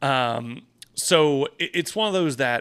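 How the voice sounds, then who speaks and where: On a very clean recording with a silent background, a man speaks loudly in a bright, sharp tone with ordinary pitch variation. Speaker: real estate agent and podcast host. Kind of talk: casual podcast monologue. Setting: office. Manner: casual, filler-heavy.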